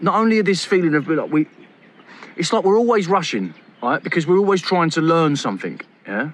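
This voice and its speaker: A man talks at a very fast pace in a high pitch. His intonation is lively. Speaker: self-help speaker. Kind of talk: casual monologue. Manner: animated.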